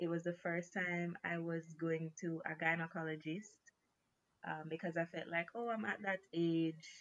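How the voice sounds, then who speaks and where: This woman has a normal speaking voice at a fairly low pitch. Her intonation stays fairly even. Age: 20s. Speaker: recent graduate sharing health story. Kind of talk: casual interview.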